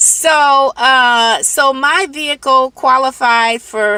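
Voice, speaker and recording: A woman with an American accent speaks in a raised, projected, high voice. The sound is dry and close, with no echo. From Michigan, US. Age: 60s. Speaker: delivery driver and vlogger. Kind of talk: casual vlog talk. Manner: hesitant, conversational.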